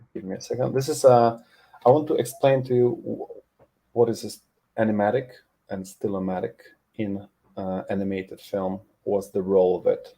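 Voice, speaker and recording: A man with a Polish accent at a medium pitch, moderate pace, ordinary pitch variation and big swings in loudness. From Poland. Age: 40s. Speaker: animation tutor. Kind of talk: webinar presentation.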